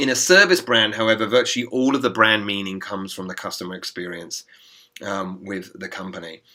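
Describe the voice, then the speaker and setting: A man with a fairly low pitch and a bright, sharp tone talks at a fairly quick pace, his loudness swinging widely and his pitch varying in an ordinary way. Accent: English. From England. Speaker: business school professor. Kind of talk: recorded lecture voiceover. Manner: hesitant, many fillers.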